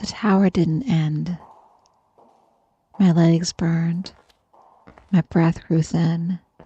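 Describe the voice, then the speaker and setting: Very slow and soft-spoken, a woman delivers flat, monotone speech at a fairly low pitch, with a dry, close sound and no echo. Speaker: horror story narrator. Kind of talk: sleep story.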